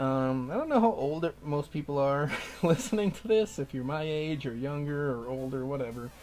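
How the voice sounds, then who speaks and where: With music in the background, a man with a Minnesota accent talks at a moderate pace with ordinary pitch variation. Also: fairly high pitch for a man. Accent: Minnesota accent, noticeable. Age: 30s. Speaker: gaming YouTuber. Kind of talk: let's play commentary. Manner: rambling, hesitant with fillers.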